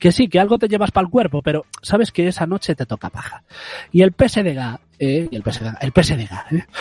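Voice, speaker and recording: Pitched high with very wide swings, a man speaks at a fairly quick pace in a dry, close sound with no echo. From Galicia. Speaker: community radio host. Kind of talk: comedic casual chat. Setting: remote from home.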